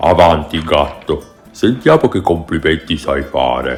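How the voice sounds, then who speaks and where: Using a cartoonish character voice, a man speaks at a very deep, low pitch and a fairly slow pace, with faint music in the background. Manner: pompous, booming.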